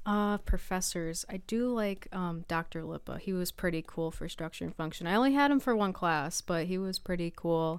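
A normal speaking voice with an American accent moves at a moderate pace with hardly any pauses and ordinary pitch variation, on a very clean recording with a silent background. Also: woman, medium pitch for a woman. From US, western New York (East Aurora near Buffalo). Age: 20s. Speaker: college student athlete. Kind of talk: casual chat. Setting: radio studio.

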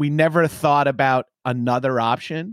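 The recording is very clean, with a silent background and a dry, close sound with no echo. A man speaks at a fairly high pitch. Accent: Long Island. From Long Island, New York. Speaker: comedian and podcaster. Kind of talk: casual interview chat. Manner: animated, laughing, casual.

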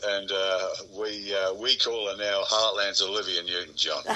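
A man speaks at a fairly slow pace in an Australian accent. There is noticeable background noise. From South Australia. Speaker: country musician. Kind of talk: interview.

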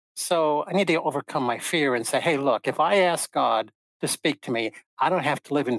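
A man with a normal speaking voice and fairly high pitch talks at a fairly quick pace with ordinary pitch variation, on a very clean recording with a silent background and a dry, close sound with no echo. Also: very even loudness. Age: 60s. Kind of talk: interview conversation.

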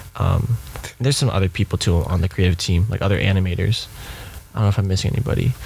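A man talks at a very fast pace with a very deep, low pitch and ordinary pitch variation. His loudness stays very even, and there is noticeable background noise. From US West Coast, Bay Area. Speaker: coffee and event company founder. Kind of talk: casual interview chat.

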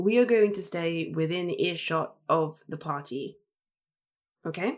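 In an English accent, a woman with a fairly low voice talks at a very slow pace with ordinary pitch variation. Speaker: tabletop game player. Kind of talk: tabletop roleplaying game session.

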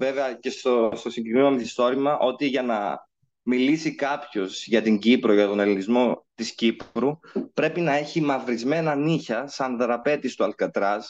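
Against a quiet background, a plain, everyday voice talks at a fairly slow pace. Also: man. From Cyprus. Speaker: legal researcher. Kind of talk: lecture.

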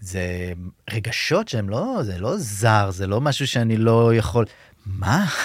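A man talks at a fairly slow pace and a fairly low pitch, with ordinary pitch variation. Audible room echo is present. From Israel, kibbutz in the south. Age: 30s. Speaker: social worker. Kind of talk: interview, personal testimony. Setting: studio. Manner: halting.

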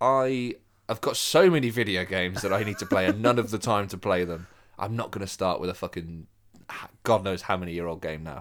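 A man's normal speaking voice, fairly low in pitch with ordinary pitch variation and a fairly quick pace, on a very clean recording over a silent background. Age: younger than co-host. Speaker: podcast co-host. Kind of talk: casual chat.

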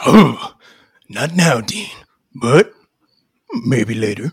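Here a man uses a put-on character voice at medium pitch. He speaks at a very slow pace. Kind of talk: comic parody drama. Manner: cocky, wisecracking.

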